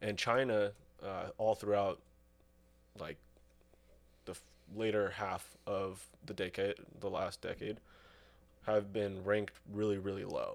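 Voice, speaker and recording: A man's flat, monotone delivery, fairly low in pitch, fairly slow, with long, frequent pauses. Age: 20s. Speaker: guest with knowledge of Soviet-era history. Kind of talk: casual chat.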